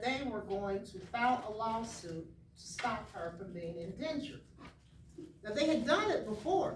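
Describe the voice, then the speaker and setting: There is noticeable background noise and audible room echo as a woman with a fairly high pitch speaks at a fairly slow pace. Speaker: author and historian. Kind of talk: storytelling talk to children. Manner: animated; quiet for emphasis.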